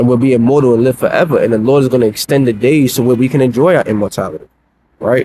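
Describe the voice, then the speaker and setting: A man's medium-pitched voice, dark and mellow, at a very fast pace with ordinary pitch variation and very even loudness. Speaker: religious teacher. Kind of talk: live religious lesson.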